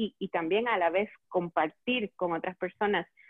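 A woman speaks at a medium pitch. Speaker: eco-store owner and event organizer. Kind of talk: casual chat. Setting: Facebook Live video call.

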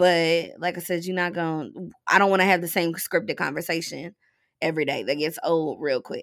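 With a plain, everyday voice, a woman talks at a fairly quick pace and fairly even intonation on a very clean recording with a silent background. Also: fairly low pitch for a woman. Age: 20s. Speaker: writer, blogger and podcaster. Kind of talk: casual chat.

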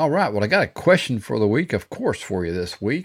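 A man with a Texan accent, fairly low-pitched, fairly quick, with very wide pitch swings. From Texas. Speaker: podcast host, business coach. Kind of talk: solo motivational talk. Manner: casual, halting with many fillers.

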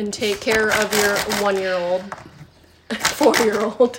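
A woman with a medium-pitched voice speaks very slowly with fairly even intonation, long, frequent pauses, and noticeable background noise. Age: 30s. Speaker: podcast guest. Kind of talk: casual chat.

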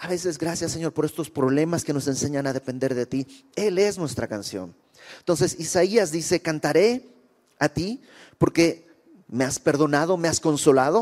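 Speaking in a plain, everyday voice, a man with a fairly high pitch keeps a moderate pace and ordinary pitch variation in a dry, close sound with no echo. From Bolivia. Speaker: preacher. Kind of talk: sermon.

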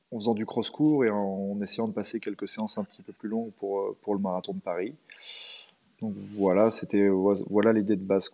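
Here a man talks in a dark, mellow tone at a fairly low pitch. His intonation stays fairly even. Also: moderate pace, big swings in loudness. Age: 30s. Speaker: amateur runner and running coach. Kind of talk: casual interview. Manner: hesitant, many fillers and repetitions.

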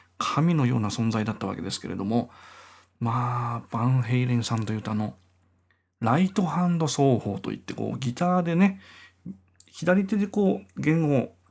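A medium-pitched man with very wide pitch swings at a moderate pace, in a very clean recording with a silent background. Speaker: podcaster and guitarist. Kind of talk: casual solo monologue.

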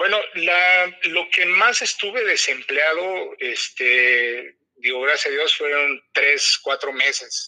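A man with a high pitch for a man speaks very slowly, with hardly any pauses. His intonation is lively and his loudness very even. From Mexico City. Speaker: process and quality engineer. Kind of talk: interview.

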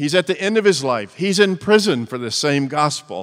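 A man with a Southern US accent speaks at a moderate pace with very wide pitch swings. The recording is very clean, the background silent. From US South. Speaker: preacher. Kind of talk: sermon. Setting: church.

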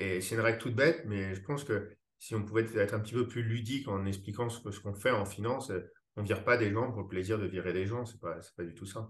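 A somewhat breathy man talking at a very fast pace. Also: fairly low pitch for a man, ordinary pitch variation. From France, Paris. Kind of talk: casual interview conversation. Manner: hesitant, many fillers and repetitions.

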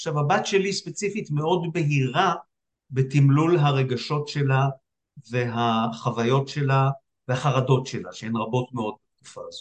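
A man with a fairly high pitch speaks at a fairly slow pace, somewhat breathy, his loudness swinging widely. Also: ordinary pitch variation. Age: 60s. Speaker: psychiatrist. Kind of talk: casual chat. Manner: halting.

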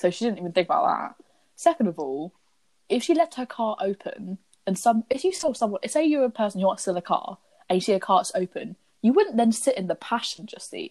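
Fairly high-pitched and animated, a woman talks at a fairly quick clip with very wide pitch swings in a dry, close sound with no echo. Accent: British. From UK. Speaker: podcast co-host recapping a TV show. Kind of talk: casual chat. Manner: animated, frequent laughter.

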